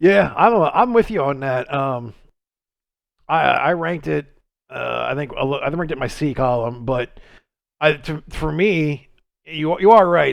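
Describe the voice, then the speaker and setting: He talks at a moderate pace, with lively intonation and a fairly high pitch. The man has an ordinary speaking voice. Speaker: horror fan podcast co-host. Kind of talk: casual chat.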